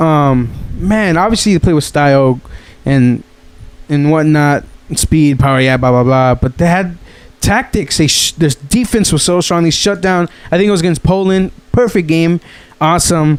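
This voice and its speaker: Speaking at a moderate pace, a man with a fairly high pitch keeps his loudness very even, his tone animated and his pitch variation ordinary. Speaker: podcast host. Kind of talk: casual chat. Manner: halting.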